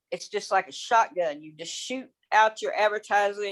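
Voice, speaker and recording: This is a plain, everyday voice with an American accent. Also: woman. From Texas. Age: 60s. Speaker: affiliate marketer. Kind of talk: casual presentation on video call. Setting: video call.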